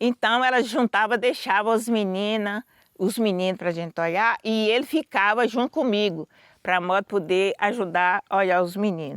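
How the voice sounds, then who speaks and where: A woman with an ordinary speaking voice talks at medium pitch and a moderate pace, with ordinary pitch variation and very even loudness, on a very clean recording with a silent background and a dry, close sound with no echo. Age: 60s. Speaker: quilombo elder. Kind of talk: testimony.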